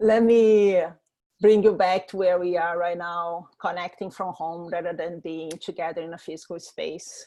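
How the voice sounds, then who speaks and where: A woman with a strong Brazilian accent speaks in a dark, mellow tone, her loudness swinging widely. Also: fairly even intonation, moderate pace, quiet background. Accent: thick Brazilian Portuguese. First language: Portuguese. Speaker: startup founder. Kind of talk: presentation. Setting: video call from home. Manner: hesitant with fillers.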